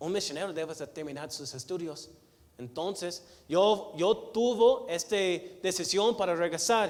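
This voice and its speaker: A man speaks at a fairly slow pace with lively intonation. His loudness swings widely. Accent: American. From United States. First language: English (speaking Spanish). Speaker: missionary preacher. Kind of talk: sermon. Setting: church. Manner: halting, with many repetitions and fillers.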